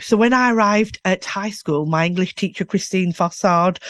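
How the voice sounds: At a moderate pace, a woman speaks with a fairly bright tone, medium pitch and ordinary pitch variation, in a dry, close sound with no echo.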